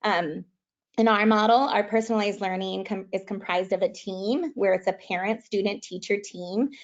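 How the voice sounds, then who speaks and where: This woman's voice sits at a medium pitch and rises and falls in an ordinary way. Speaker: school leader. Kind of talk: webinar presentation. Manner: fast.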